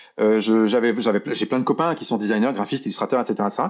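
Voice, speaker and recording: Speaking at a very fast pace, a man delivers his words. His intonation is lively. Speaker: illustrator and art director. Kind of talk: casual interview.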